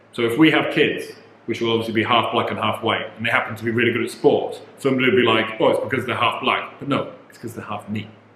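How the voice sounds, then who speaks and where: Delivered at a very fast pace, the speech has big swings in loudness, audible room echo and noticeable background noise. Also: man. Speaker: vlogger, husband in married couple channel. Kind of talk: casual chat.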